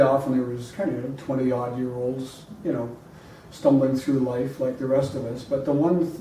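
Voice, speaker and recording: A man at medium pitch and moderate pace is recorded with audible room echo and noticeable background noise. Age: 60s. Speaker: podcast guest, health enthusiast. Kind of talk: casual conversation. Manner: halting, with many fillers.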